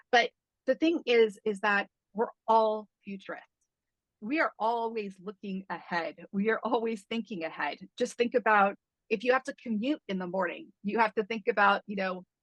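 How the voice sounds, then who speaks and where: A woman talks in a normal speaking voice at a moderate pace, fairly high in pitch with ordinary pitch variation. The sound is dry and close, without echo. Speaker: strategic foresight consultant. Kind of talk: online presentation. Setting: video call.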